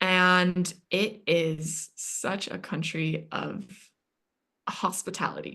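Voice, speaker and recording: Against a quiet background, a woman with a North American accent speaks very slowly in a bright, sharp, fairly low voice with vocal fry and monotone, flat intonation. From Yemen. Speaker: interview guest, recent psychology graduate. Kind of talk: podcast interview.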